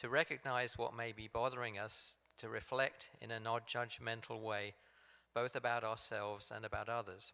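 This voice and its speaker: A man with an English accent speaks at a medium pitch. His tone is bright and sharp, with monotone, flat intonation. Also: moderate pace. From England. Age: 60s. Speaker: meditation group facilitator. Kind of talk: talk at a church service. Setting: church sanctuary, also streamed on video call. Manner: hesitant, with frequent ums and repeats.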